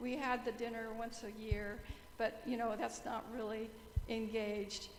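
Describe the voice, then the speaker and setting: A woman's fairly high-pitched voice at a moderate pace, with noticeable background noise and audible room echo. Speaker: church member. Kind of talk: meeting discussion. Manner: loud.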